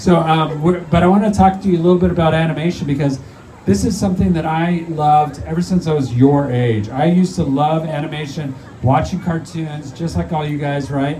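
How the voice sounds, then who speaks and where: Over noticeable background noise and audible room echo, a man talks at a fairly quick pace in a fairly high voice with ordinary pitch variation. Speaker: animator and animated film director. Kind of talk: live talk to audience. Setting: stage with audience at a zoo. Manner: fast.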